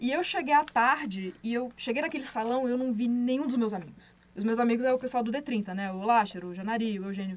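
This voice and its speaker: At a fairly quick pace, this is a plain, everyday voice with ordinary pitch variation. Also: woman. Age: 30s. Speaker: podcast host. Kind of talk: casual chat.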